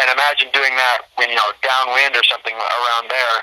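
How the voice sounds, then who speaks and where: Speaking with an American accent, a man with an ordinary speaking voice keeps a medium pitch and a moderate pace. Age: young. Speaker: college golfer. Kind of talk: casual chat.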